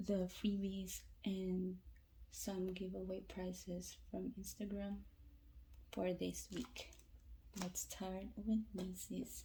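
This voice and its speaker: Very slowly and quietly, a woman speaks. She leaves long, frequent pauses. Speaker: freebie unboxing vlogger. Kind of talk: casual talk to camera. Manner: quiet, lowered voice.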